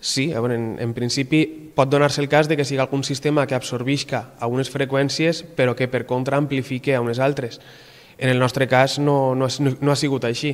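A man talks at a medium pitch and a moderate pace. His intonation is monotone and flat. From Valencia, Gandia; Valencia. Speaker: doctoral researcher in acoustics. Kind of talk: interview. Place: home room. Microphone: handheld.

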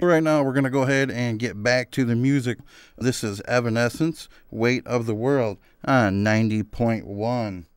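A man's plain, everyday voice at medium pitch and a moderate pace, with ordinary pitch variation, in a very clean recording with a silent background. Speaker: student recording a mock radio DJ set. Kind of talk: scripted radio DJ patter with live-read ads, breezy upbeat rock-station banter. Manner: upbeat, hyped-up DJ persona bigging himself up; chatty and folksy, casually pitching sponsors to listeners.

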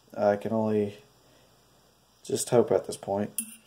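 Speaking at a fairly slow pace, a man uses a fairly low pitch with little pitch movement and a nasal, dark, mellow tone.

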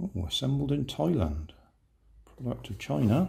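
A man at a fairly slow pace, with a slightly mellow tone, vocal fry and big pitch swings. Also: medium pitch for a man.

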